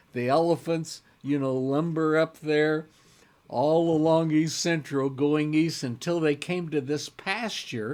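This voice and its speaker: A man speaks at a very slow pace in a Midwestern US accent. His pitch is fairly high and his tone relaxed. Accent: US Midwest. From Kansas, Wichita. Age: 70s. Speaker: local history presenter. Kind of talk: casual storytelling talk. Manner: relaxed, rambling with fillers.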